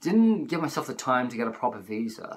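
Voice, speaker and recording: A man is speaking. His intonation is lively. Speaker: travel vlogger. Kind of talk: casual vlog chat. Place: home room. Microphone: phone near.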